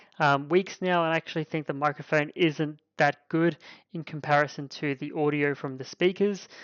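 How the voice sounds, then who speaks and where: With an Australian accent, a man speaks at a moderate pace and fairly high pitch. His intonation stays fairly even. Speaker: tech reviewer. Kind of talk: product review. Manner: loud.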